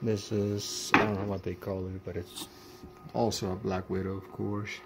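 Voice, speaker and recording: Over loud background noise, a man talks at a fairly low pitch with monotone, flat intonation. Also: moderate pace. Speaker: hobbyist reviewer. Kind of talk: casual product demo talk to camera. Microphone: phone near.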